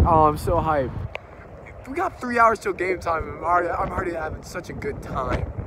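A man with an American accent talks at a moderate pace. The sound is dry with no echo, though background noise is noticeable. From Oklahoma. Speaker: YouTuber vlogger. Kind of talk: casual vlog narration. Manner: animated. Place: street. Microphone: phone near.

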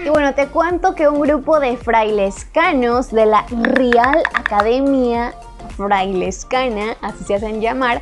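A woman speaks at a very slow pace, with clear music playing in the background. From Chiapas, Mexico. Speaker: YouTuber. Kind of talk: casual talk to camera. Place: home room.

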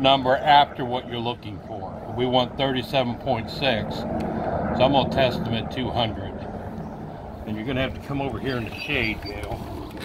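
Loud background noise accompanies a man speaking at a fairly slow pace. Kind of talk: tutorial. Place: garden. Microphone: phone near.

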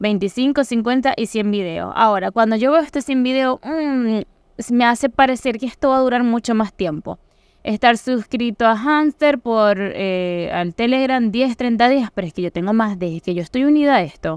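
A woman with a Venezuelan accent, a fairly high pitch and lively intonation, at a fairly slow pace, in dry, close sound with no echo. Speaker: crypto YouTuber. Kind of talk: tutorial.

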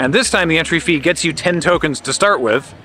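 At a fairly quick pace, a man speaks with ordinary pitch variation in a dry sound with no echo and light background noise. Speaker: vlogger. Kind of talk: casual vlog chat. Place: open country. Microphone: phone near.

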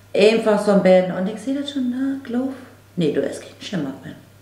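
A woman with a northern German accent at a moderate pace, with audible room echo. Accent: Low German, northern German. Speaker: makeup vlogger. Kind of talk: casual makeup tutorial talk to camera. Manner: chatty, informal. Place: home room.

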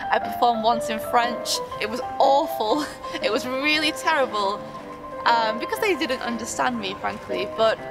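Clear music plays behind a woman talking at a moderate pace. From United Kingdom. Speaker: stand-up comedian and comedy teacher. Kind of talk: interview answer.

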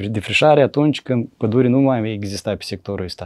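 A man speaks with a Moldovan accent. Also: quiet background. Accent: Moldovan Romanian. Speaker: forestry engineer; interview guest. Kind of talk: interview. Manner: hesitant, many fillers. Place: studio. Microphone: lapel.

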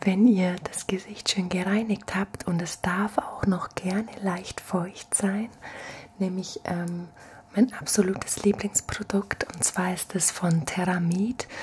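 Soft-spoken and at a very slow pace, a woman talks in a relaxed, gentle tone over light background noise. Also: fairly even intonation. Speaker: ASMR creator. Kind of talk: ASMR soft-spoken skincare routine demo. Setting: home, at night, filmed on camera. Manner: soft-spoken, gentle, slow and soothing; relaxed, chatty, intimate. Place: home room. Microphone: studio mic.

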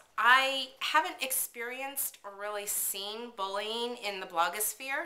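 A woman speaks at a very slow pace. Her pitch rises and falls in an ordinary way. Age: 40s. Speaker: vlogger, work-at-home mom; mom blogger. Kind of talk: casual vlog monologue. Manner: hesitant, many fillers. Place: kitchen. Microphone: webcam.

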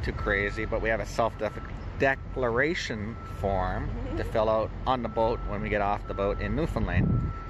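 A man speaks at a moderate pace. There is noticeable background noise, and the sound is dry with no echo. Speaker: traveller vlogger. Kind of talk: casual vlog chat. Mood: cheerful, joking. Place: station. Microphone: phone near.

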